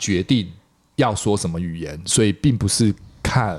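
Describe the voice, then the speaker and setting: A man is speaking here. His voice is somewhat breathy, and his pace is fairly slow. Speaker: podcast host. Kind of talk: casual interview chat.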